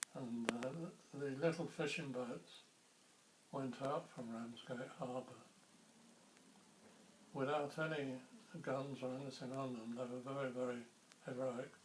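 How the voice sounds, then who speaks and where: Over noticeable background noise, a man of medium pitch talks at a fairly slow pace with fairly even intonation and long, frequent pauses. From Ramsgate, Kent, England. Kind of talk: oral history interview answer.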